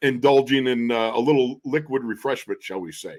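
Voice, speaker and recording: A man with an ordinary speaking voice, medium pitch and a moderate pace. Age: 60s. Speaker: former NFL guard, radio color analyst. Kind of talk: casual chat. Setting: podcast interview.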